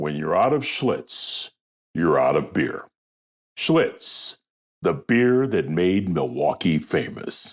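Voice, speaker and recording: Putting on a character voice, a man drags out raspy words at a very slow pace. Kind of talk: broadcast, polished, advertising voice. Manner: upbeat, enthusiastic.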